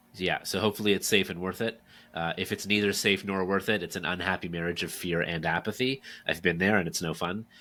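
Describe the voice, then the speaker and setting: In a very clean recording with a silent background, a man talks very fast in a very deep, low pitch, his tone bright and sharp and his intonation fairly even. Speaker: author and speaker on workplace culture. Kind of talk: podcast interview. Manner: conversational with filler words and repetitions.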